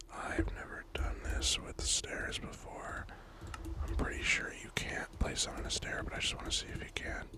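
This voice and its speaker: Over noticeable background noise, a whispered voice keeps a moderate pace. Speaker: ASMR gaming creator. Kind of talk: ASMR gameplay commentary.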